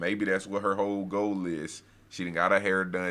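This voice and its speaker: The tone is bright and sharp, with monotone, flat intonation. The pace is moderate. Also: man. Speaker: reaction content creator. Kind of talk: casual reaction commentary. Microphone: headset.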